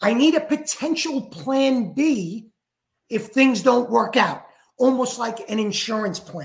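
A New York accent at a fairly slow pace. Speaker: franchise executive. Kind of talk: podcast interview.

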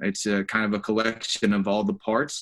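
A man speaks with an unremarkable speaking voice at a medium pitch. His pace is moderate. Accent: American. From US South, North Carolina. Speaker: finance and operations executive. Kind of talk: interview.

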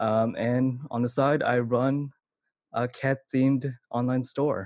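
In a very clean recording with a silent background, a man with a Californian accent speaks in a flat monotone. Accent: Californian American. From Vallejo, California. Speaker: commercial videographer and cat influencer. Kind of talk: interview answers. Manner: casual, many fillers like 'like'.

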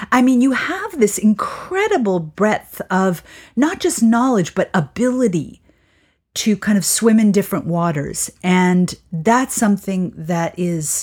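A woman with a medium-pitched, somewhat breathy voice speaks at a fairly slow pace with lively intonation. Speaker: podcast co-host. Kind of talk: casual interview chat.

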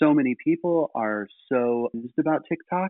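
A man speaks at a moderate pace in a medium pitch, his intonation lively and the sound dry and close with no echo.

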